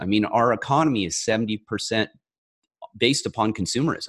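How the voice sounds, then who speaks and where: A man speaks at a moderate pace with a medium pitch and lively intonation, in a plain, everyday voice. The background is quiet. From rural mountain area, US. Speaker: author and former federal agent. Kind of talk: interview.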